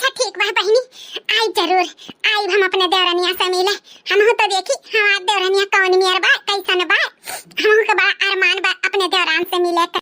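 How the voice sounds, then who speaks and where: A woman's cartoonish character voice, extremely high in pitch, at a fairly quick pace. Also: dry, close sound with no echo. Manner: rustic, emotional.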